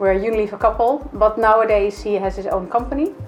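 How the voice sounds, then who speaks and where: A woman with a Dutch accent talks at a fairly quick pace while music plays in the background. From Netherlands. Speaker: HR executive. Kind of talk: interview.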